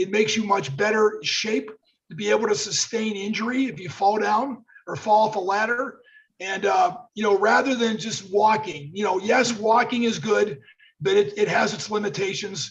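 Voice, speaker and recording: A man speaks at a moderate pace in a high pitch. His pitch varies in an ordinary way. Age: 60s. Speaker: former pro football player. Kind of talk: casual chat.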